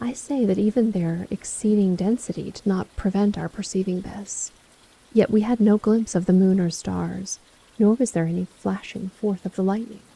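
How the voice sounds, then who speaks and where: Soft-spoken and somewhat breathy, a woman talks in a calm, relaxed tone at a medium pitch, with fairly even intonation and a dark, mellow tone. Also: moderate pace, dry, close sound with no echo. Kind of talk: calm audiobook reading of classic literature, bedtime-story style. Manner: calm, relaxed, soft.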